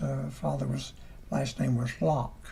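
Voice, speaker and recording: With a Southern US accent, a man talks over noticeable background noise, and audible room echo surrounds his voice. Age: 80s+. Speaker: church elder. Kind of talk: testimony. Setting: parsonage livestream. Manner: halting.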